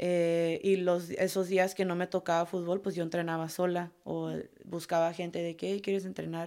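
A woman talks at a moderate pace with hardly any pauses and a monotone, flat intonation. The recording is very clean, with a silent background. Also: fairly low pitch for a woman. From California, US (Oxnard). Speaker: professional footballer. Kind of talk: interview.

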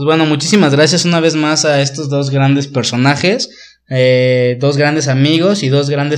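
This man has an unremarkable speaking voice with a fairly high pitch. He keeps a moderate pace and fairly even intonation. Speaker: podcast host. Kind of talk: casual interview chat.

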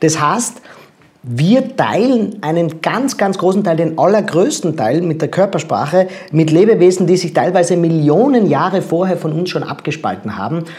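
Over noticeable background noise, a high-voiced man speaks at a moderate pace with lively intonation. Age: 40s. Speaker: body language expert and speaker. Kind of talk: interview.

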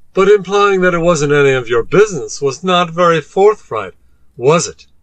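A man puts on a character voice pitched high. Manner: lecturing, sardonic, stern.

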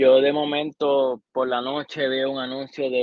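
A man with a normal speaking voice, medium pitch and moderate pace. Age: 30s. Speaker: podcast co-host. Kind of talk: casual chat.

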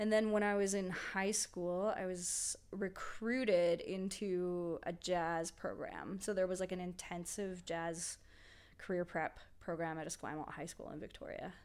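At a fairly slow pace, a woman speaks in a normal speaking voice, with a medium pitch and fairly even intonation. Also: very clean recording, silent background. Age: 30s. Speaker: musician and illustrator. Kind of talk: casual chat.

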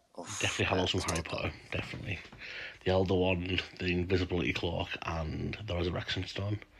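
Over noticeable background noise, a man speaks fairly quickly in a very deep, low voice with monotone, flat intonation. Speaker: listener participant. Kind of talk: casual chat.

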